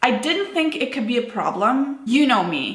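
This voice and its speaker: In a room with audible echo, a woman speaks with a non-native accent and ordinary pitch variation. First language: not English. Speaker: business owner vlogger. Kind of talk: personal vlog monologue. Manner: unscripted, casual with fillers.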